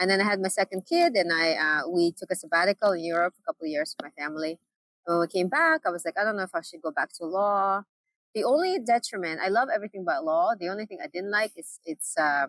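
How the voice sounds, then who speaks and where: A woman's medium-pitched voice, very fast and lively in intonation, with big swings in loudness and a dry, close sound with no echo. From Uzbekistan. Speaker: business owner and coach. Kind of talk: podcast interview.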